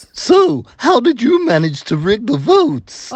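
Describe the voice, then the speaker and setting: A cartoonish character voice at a fairly high pitch moves at a fairly slow pace with very wide pitch swings. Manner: deadpan, blunt.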